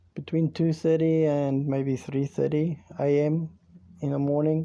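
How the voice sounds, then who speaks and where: A man with a South African accent speaks with a fairly high pitch and a dark, mellow tone. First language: Afrikaans. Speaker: YouTube storyteller. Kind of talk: storytelling. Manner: halting.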